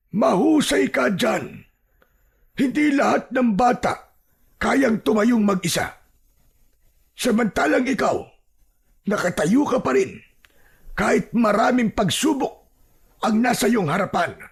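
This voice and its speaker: A put-on character voice at a fairly high pitch, fairly slow in pace, with long, frequent pauses. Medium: read story.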